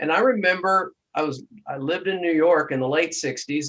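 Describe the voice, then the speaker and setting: A man talks at a moderate pace with ordinary pitch variation. He has a normal speaking voice. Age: 60s. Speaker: podcast host. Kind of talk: interview.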